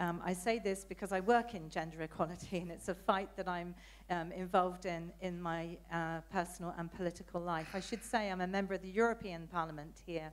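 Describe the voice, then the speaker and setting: Using a British accent, a woman with a fairly low pitch speaks at a fairly quick pace with fairly even intonation. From Britain. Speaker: audience member asking questions, politician. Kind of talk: audience question at conference. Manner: hesitant, many fillers.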